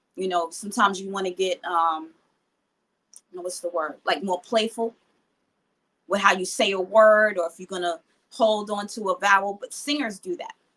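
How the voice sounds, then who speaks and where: A woman at medium pitch with a New York accent, fairly even intonation, big swings in loudness and long, frequent pauses. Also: moderate pace. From New York (Queens). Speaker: rapper. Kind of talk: interview.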